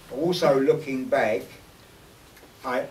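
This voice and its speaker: In a London accent, a man talks at a fairly slow pace amid noticeable background noise and audible room echo. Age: 60s. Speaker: former gangster and convert speaking at an event. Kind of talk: personal testimony to an audience. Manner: hesitant, repeating words.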